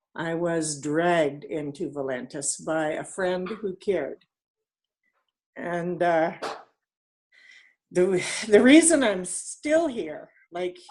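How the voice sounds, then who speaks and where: Against a quiet background, a woman in a Western Canadian accent speaks at a very slow pace with lively intonation. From Canada, northeastern British Columbia. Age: 60s. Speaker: network marketing team leader. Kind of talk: interview. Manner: halting.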